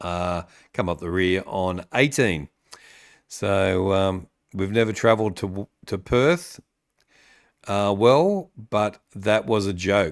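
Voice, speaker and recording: A man with a Sydney accent, his pitch fairly low, at a very slow pace with long, frequent pauses and ordinary pitch variation. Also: very clean recording, silent background. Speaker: AFL podcast host. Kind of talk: live-stream sports chat with viewers. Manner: hesitant, many fillers.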